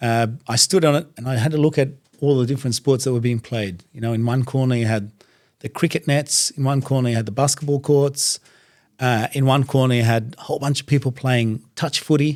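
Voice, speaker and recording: With an Australian accent, a man speaks at a medium pitch and a fairly quick pace, his intonation fairly even, on a very clean recording with a silent background. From Iraq, raised in Iran, then Australia. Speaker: doctor and religious speaker, podcast guest. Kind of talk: casual interview. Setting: studio.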